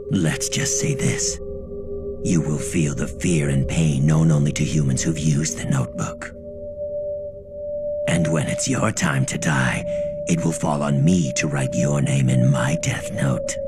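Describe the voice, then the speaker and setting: Over loud background noise, a man puts on a cartoonish character voice at a moderate pace. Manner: casual, darkly amused.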